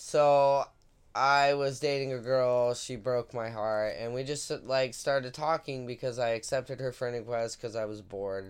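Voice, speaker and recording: Here a man with an unremarkable speaking voice talks at a fairly slow pace. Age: 30s. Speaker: podcast co-host. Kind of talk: casual chat.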